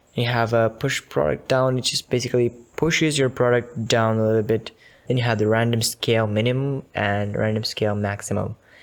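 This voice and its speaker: A man with an ordinary speaking voice at a medium pitch and moderate pace, with fairly even intonation. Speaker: software tutorial creator. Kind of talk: tutorial. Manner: casual, with fillers.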